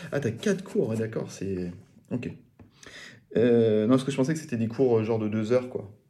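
Dark and mellow in tone, a man speaks with ordinary pitch variation and long, frequent pauses amid audible room echo. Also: medium pitch for a man, moderate pace. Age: 30s. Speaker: podcast host. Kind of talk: interview. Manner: halting, repeats words.

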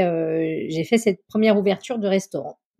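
This woman has a plain, everyday voice. Her pitch is medium and her pitch variation is ordinary. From French Alps, Chamonix. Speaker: chef and food consultant. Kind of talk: interview.

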